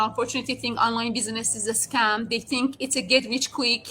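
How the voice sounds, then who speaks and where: Here a woman speaks with a high pitch and a bright, sharp tone. Her pace is fairly quick. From outside Canada. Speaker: network marketing entrepreneur. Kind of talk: casual interview. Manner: halting.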